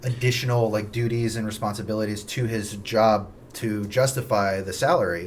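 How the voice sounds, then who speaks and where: A man talks at a fairly low pitch with fairly even intonation. Room echo is audible. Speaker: real estate agent. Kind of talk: casual chat. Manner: fast.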